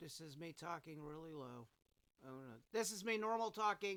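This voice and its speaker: A man speaks in a raised, projected voice with a bright, sharp tone, his pitch swinging very widely at a moderate pace, on a very clean recording with a silent background. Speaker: content creator. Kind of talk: tutorial. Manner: loud; animated.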